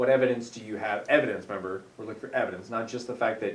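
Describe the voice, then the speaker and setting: Fairly even intonation marks this man's medium-pitched voice. There is audible room echo. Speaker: teacher, agenda keeper. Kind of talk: staff meeting roleplay. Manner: loud.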